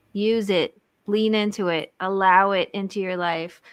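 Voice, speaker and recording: With a mid-range pitch that rises and falls in an ordinary way, a woman is talking. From outside the US. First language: not English. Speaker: marriage coach and podcast host. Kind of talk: live podcast conversation. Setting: live stream. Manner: animated.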